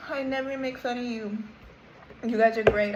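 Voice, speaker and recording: A woman talks at a moderate pace while noticeable noise sits in the background. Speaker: YouTuber. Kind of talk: rant. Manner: sounds sarcastic; awkward, halting.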